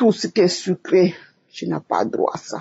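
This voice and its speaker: Breathy to a degree, a woman with a fairly low pitch and ordinary pitch variation speaks at a very slow pace. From Togo. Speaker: church member giving testimony. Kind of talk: testimony.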